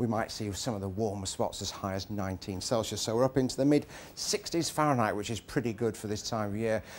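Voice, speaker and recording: A man with a southern English accent speaks at a fairly quick pace in a relaxed tone, his pitch fairly low with ordinary variation over light background noise. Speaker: TV weather presenter. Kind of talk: live TV weather forecast, loosely scripted and chatty. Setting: outdoors. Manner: relaxed and conversational, sprinkling hedges like 'I think' and 'sort of'; jovial and good-humoured, laughing and bantering with the co-presenter. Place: studio. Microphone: lapel.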